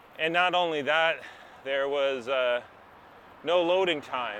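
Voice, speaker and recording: Over noticeable background noise, a man with a fairly high voice speaks very slowly with ordinary pitch variation. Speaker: podcast host. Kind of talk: casual podcast talk.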